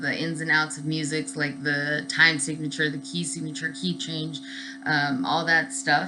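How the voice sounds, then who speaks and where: Music plays in the background and audible room echo surrounds a woman's very deep, low pitch. She speaks with lively intonation. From Southern California. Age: 30s. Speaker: student. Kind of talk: class introduction video. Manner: casual with many fillers.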